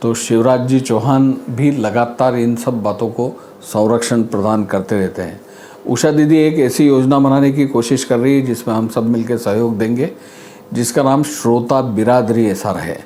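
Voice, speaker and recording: A speaker with a Marathi accent talks with fairly even intonation over noticeable background noise. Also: man, medium pitch for a man. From India, Madhya Pradesh. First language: Marathi (speaking Hindi). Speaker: arts academy official. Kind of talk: interview.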